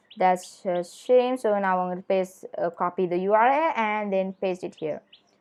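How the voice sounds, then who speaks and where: At a moderate pace, a woman talks in a normal speaking voice of medium pitch with ordinary pitch variation. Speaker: tech tutorial youtuber. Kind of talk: tutorial.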